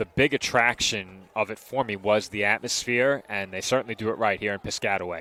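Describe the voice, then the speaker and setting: Recorded dry and close with no echo, a man talks with a New York accent. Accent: Staten Island. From Staten Island, New York. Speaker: play-by-play announcer. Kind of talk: live commentary.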